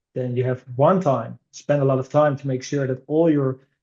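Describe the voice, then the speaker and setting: A man speaks at medium pitch and a fairly quick pace. His tone is dark and mellow, with fairly even intonation. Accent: Dutch. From Netherlands. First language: Dutch. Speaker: innovation director at a digital commerce consultancy. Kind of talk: podcast interview. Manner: frequent hesitations and fillers.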